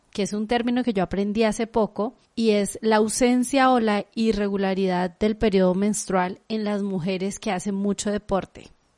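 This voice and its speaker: Against a quiet background, a woman with an ordinary speaking voice talks at a moderate pace and medium pitch with fairly even intonation. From Guadalajara, Mexico. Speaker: podcast host. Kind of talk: interview.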